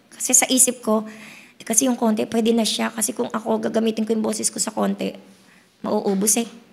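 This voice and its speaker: A fairly high-pitched woman's voice with fairly even intonation and long, frequent pauses, amid noticeable background noise. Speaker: pastor. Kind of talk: sermon.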